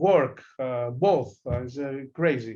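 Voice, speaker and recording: Dark and mellow in tone, a man's voice sits at a fairly high pitch. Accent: Greek. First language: Greek. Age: 40s. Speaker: darts player. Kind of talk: interview. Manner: halting.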